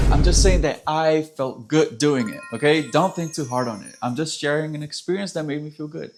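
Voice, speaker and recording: With music in the background, a man speaks at a moderate pace in an animated tone and a fairly high pitch. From Brazil. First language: Portuguese. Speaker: musician and vlogger. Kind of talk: casual vlog storytelling.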